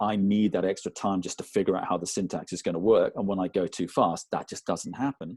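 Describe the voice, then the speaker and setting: With hardly any pauses, the speaker moves at a fairly quick pace in fairly even intonation, recorded with a dry, close sound and no echo. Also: man, fairly low pitch for a man. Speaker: person who clutters. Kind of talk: interview testimony. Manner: many ums and ers, abnormal pauses.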